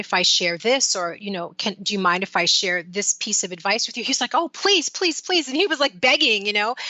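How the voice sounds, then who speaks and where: Here a woman has an unremarkable speaking voice at a medium pitch. Her pace is fairly quick. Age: 50s. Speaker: life coach. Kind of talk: interview. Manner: casual, conversational.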